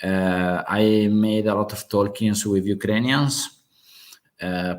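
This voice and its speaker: In a very clean recording with a silent background, a man with a strong Italian accent speaks at a fairly low pitch with fairly even intonation. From Italy. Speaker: geopolitics channel host. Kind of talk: live stream open discussion. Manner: halting, many fillers.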